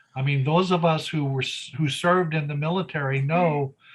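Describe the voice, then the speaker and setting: This man's voice has a bright, sharp tone at a fairly high pitch. He speaks fairly slowly with ordinary pitch variation. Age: 70s. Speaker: war veteran and presenter. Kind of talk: Q&A discussion after a presentation. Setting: live audience with Zoom viewers.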